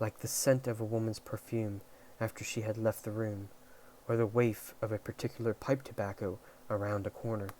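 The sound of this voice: The clip uses an unforced reading voice. It is delivered as a read.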